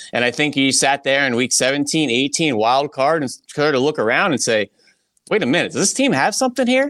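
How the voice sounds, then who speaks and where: A man with a plain, everyday voice speaks at a fairly quick pace, his pitch fairly high with ordinary variation. His loudness stays very even on a very clean recording with a silent background. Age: 30s. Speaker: football analyst. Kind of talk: casual chat.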